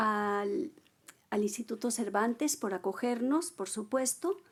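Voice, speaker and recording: A woman with a fairly high voice speaks very slowly, her pitch varying in an ordinary way. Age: 60s. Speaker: writer. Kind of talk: book presentation dialogue.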